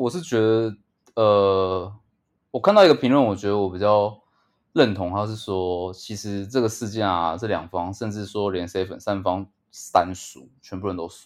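A man at a moderate pace, fairly low pitch, fairly even intonation and big swings in loudness against a quiet background. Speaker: podcast co-host. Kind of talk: casual chat.

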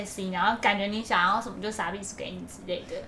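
A woman speaks at a very fast pace. Audible room echo and noticeable background noise surround her voice. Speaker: podcast co-host. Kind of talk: casual chat.

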